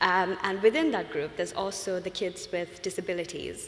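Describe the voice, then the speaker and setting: A woman speaks at a fairly quick pace with a Sri Lankan accent. Her intonation stays fairly even, and the room echo is audible. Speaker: UX design consultant. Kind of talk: conference talk. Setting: stage with audience. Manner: fast; hesitant, many fillers.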